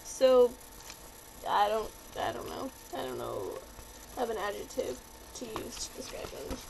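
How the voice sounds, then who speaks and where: The talking proceeds at a moderate pace. Noticeable background noise can be heard. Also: woman. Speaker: vlogger. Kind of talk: casual vlog review. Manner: animated.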